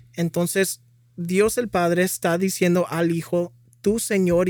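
Over a very clean recording with a silent background, a man speaks at a moderate pace in a high pitch with fairly even intonation. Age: 20s. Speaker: former Jehovah's Witness, ministry volunteer. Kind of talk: testimony. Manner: halting.

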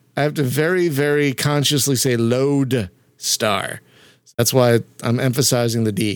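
A man with an American accent speaks at a medium pitch and a fairly slow pace in a normal speaking voice, his loudness very even, on a very clean recording with a silent background. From Philadelphia, US. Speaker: podcast host. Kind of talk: casual interview.

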